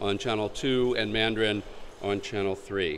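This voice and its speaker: Someone speaks with an American accent at a fairly slow pace. Room echo is audible. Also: man. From United States. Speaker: conference moderator. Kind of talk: event introduction. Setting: conference stage with audience. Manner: halting, many fillers.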